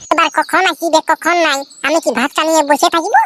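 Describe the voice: A woman performs a cartoonish character voice that is squeaky and extremely high in pitch. Her intonation stays fairly even. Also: moderate pace.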